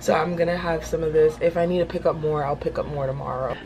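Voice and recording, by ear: A woman talks at a fast pace with a low pitch and fairly even intonation, with clear background noise.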